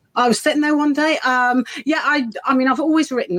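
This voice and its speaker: A woman with a slight Birmingham accent, speaking at a very fast pace. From English Midlands, Birmingham. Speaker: children's author. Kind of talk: casual interview.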